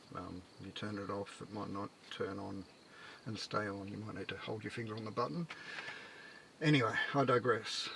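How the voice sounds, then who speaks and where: Speaking quietly and mumbling, a man with a fairly low voice and ordinary pitch movement keeps a moderate pace broken by long, frequent pauses. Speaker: micro-camper builder living in his camper. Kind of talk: casual talk to camera. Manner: mumbling, rambling, quiet; hesitant, many fillers.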